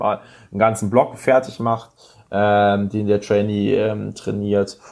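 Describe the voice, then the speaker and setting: A man with a plain, everyday voice, a fairly low pitch and a moderate pace. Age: 20s. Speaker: powerlifter and strength coach. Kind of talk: casual interview.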